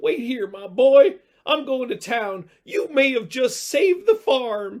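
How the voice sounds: A man puts on a character voice pitched extremely high for a man. The voice is shaky. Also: fairly slow pace.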